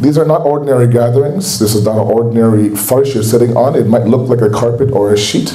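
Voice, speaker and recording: In a Canadian accent, a man talks at a fairly quick pace and medium pitch with fairly even intonation, with audible room echo and noticeable background noise. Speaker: Islamic speaker. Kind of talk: religious lecture. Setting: mosque gathering with audience.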